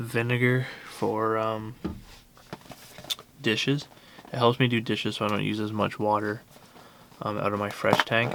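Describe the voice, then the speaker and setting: Over noticeable background noise, a soft-spoken man speaks at medium pitch and a moderate pace, with monotone, flat intonation and long, frequent pauses. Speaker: van-dwelling travel vlogger. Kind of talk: casual vlog talk. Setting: inside a van. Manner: hesitant, many fillers; soft-spoken, quiet.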